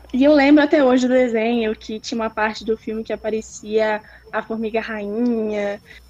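Delivered at a moderate pace, a normal speaking voice comes through with ordinary pitch variation. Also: woman. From Espírito Santo, Brazil. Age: 20s. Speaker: artist and university student. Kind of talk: casual interview.

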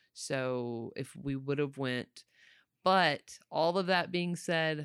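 With a Southern US accent, a woman speaks at a very deep, low pitch and a very slow pace. Her pitch varies in an ordinary way in a very clean recording with a silent background. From North Florida, rural Panhandle. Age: 40s. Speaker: cook, host's mother. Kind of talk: casual interview.

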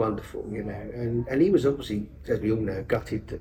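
A man talks at a fairly quick pace in a dark, mellow tone. His pitch is fairly low, with ordinary pitch variation.

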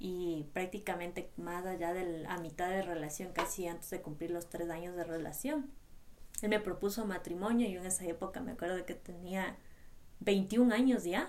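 Audible room echo surrounds a woman speaking at a moderate pace, her medium pitch showing ordinary variation. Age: 20s. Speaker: podcast co-host, trail runner. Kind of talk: casual chat.

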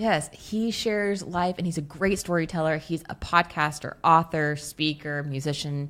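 Speaking at a moderate pace, a woman has a plain, everyday voice, fairly low in pitch, with ordinary pitch variation. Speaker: podcast co-host. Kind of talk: casual chat. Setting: in a camper truck.

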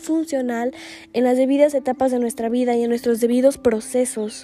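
Over noticeable background noise, a woman with a high pitch talks at a fairly quick pace with fairly even intonation. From Guatemala. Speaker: podcast host. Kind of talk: reflective monologue. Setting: seated, solo recording.

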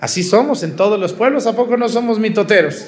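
Noticeable background noise and audible room echo accompany a man's voice. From Mexico, Jalisco. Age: 40s. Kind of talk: sermon. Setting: outdoor mass with congregation.

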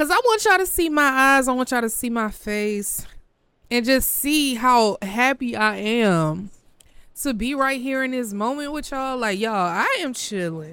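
The tone is animated, bright and sharp. Intonation is lively, and the pace is moderate. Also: woman, high pitch for a woman. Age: 20s. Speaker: podcast host. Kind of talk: casual monologue. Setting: hotel room by the ocean.

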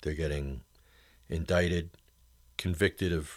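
A man's voice with vocal fry comes through on a very clean recording with a silent background. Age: 50s. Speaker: radio show host. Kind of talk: political talk show monologue. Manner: conversational, with frequent fillers and restarts.

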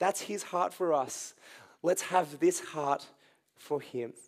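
A man with an Australian accent, high in pitch and very slow, in a very clean recording over a silent background. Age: 20s. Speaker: youth pastor. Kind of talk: sermon.

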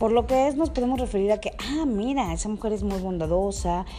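Over music in the background, a woman at a medium pitch speaks with lively intonation. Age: 30s. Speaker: podcast host. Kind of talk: casual monologue. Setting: recording with others present. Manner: halting.

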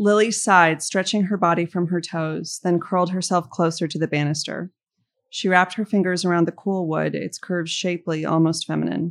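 A woman with an ordinary speaking voice, fairly low in pitch, at a fairly quick pace, with an American accent. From Los Angeles. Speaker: novelist. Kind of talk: reading aloud.

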